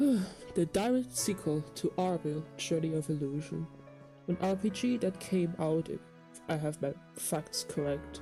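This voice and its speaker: Over music in the background, a woman speaks at a fairly slow pace. Her pitch is very deep and low. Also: lively intonation. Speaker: let's player. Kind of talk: casual let's play commentary.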